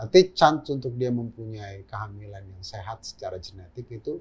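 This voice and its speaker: A somewhat breathy man with a medium pitch talks at a fairly quick pace with ordinary pitch variation. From Jakarta, Indonesia. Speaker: gynecologist and fertility doctor; guest. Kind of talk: interview conversation. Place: studio.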